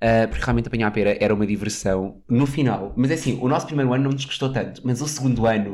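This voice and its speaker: With a European Portuguese accent, a man speaks at medium pitch and a very fast pace. He leaves hardly any pauses. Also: ordinary pitch variation. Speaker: podcast co-host. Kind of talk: casual chat. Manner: animated.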